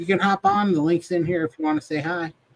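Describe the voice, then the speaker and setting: With an American accent, a man speaks at a high pitch in a dry, close sound with no echo. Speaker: podcast co-host. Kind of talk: casual chat.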